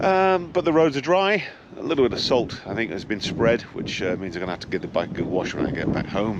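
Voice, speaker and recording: A man's voice swings very widely in pitch. The audio has audible room echo and noticeable background noise. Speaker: motorcycle vlogger. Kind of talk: casual vlog narration. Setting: riding a motorcycle outdoors.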